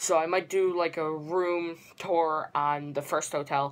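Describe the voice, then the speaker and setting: Her intonation monotone and flat, a woman speaks at a very deep, low pitch. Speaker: vlogger. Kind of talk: casual vlog chat. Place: home room. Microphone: phone near.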